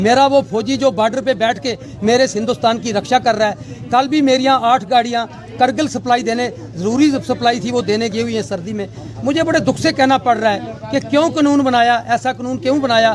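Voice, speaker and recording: A man with an extremely high pitch speaks at a moderate pace with ordinary pitch variation over noticeable background noise. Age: 60s. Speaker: transporter, former truck driver. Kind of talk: street interview, protest statement.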